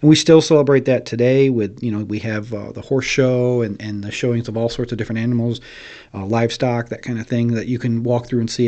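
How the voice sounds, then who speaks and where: Medium-pitched male speech, very fast, with fairly even intonation. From upstate New York, Oneida County. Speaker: county historian. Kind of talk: casual interview, storytelling. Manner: hesitant, many fillers.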